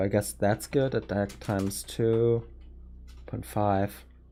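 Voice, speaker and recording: A very slow voice with an American accent over music in the background. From Germany. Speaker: streamer. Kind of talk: casual live stream chat.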